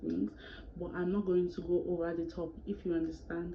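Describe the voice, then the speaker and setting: Audible room echo and noticeable background noise surround the speaker. A woman talks at a fairly quick pace. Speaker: YouTuber. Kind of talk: storytime vlog. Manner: fast; animated.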